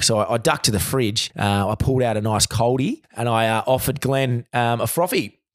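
Speaking at a medium pitch, this man has an Australian accent. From Australia, Victoria (Bendigo) and Adelaide. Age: 30s. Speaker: recruiter. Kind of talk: storytelling in casual chat. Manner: halting, many fillers and repeats.

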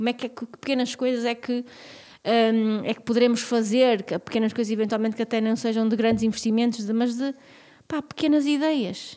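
Her voice is fairly high with a dark, mellow tone, and the woman keeps fairly even intonation while her loudness swings widely. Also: moderate pace. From northern Portugal, Vila Real. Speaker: podcast co-host. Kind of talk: casual interview chat.

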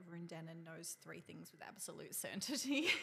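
A woman with an Australian accent speaks in a fairly low pitch and a bright, sharp tone. The recording is very clean, with a silent background. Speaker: podcast co-host, ambulance service worker. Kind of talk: casual chat.

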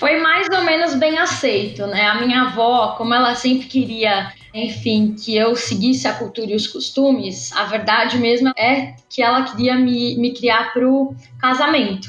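A woman's high voice with very even loudness, hardly any pauses and ordinary pitch variation, amid noticeable background noise and audible room echo. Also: fairly slow pace. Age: 20s. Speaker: political activist and candidate. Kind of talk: casual interview. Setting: online call.

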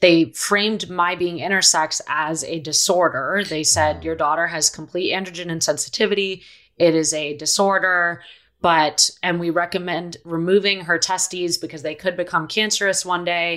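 A woman with a normal speaking voice, fairly low in pitch, at a moderate pace and fairly even intonation, in a very clean recording with a silent background. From Philadelphia, US East Coast, moved around abroad. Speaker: activist and author. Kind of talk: interview.

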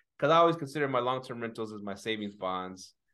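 An unremarkable speaking voice, a man at a medium pitch and a fairly quick pace. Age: 40s. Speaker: podcast host, short-term rental host. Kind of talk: casual chat. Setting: office.

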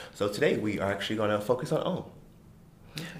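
This man has an American accent and an animated tone. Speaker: podcast co-host. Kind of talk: casual chat.

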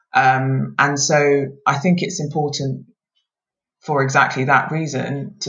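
Fairly even intonation in a British accent. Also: woman. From UK (Scotland then England), Nigerian parents. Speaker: lawyer. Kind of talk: casual interview.

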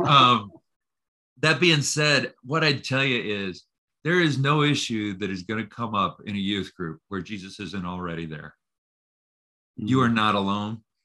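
A man's fairly low voice in a bright, sharp tone, with lively intonation, a moderate pace and long, frequent pauses. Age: 50s. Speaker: counseling professor. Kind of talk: casual interview. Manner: halting, repeats words.

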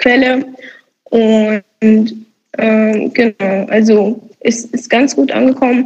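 A fairly high-pitched woman at a very slow pace, with fairly even intonation and very even loudness. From Romania. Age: 20s. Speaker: student activist. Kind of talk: podcast interview.

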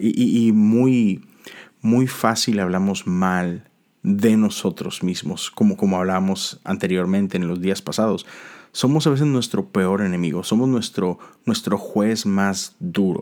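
On a very clean recording with a silent background, a man with a fairly low pitch speaks at a fairly slow pace with ordinary pitch variation. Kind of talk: devotional talk. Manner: halting with frequent repetitions.

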